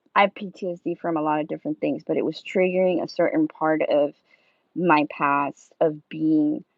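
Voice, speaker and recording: A woman with a Spanish accent, talking at a moderate pace. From South America. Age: 30s. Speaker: live streamer. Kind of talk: casual live-stream chat. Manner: halting, many fillers.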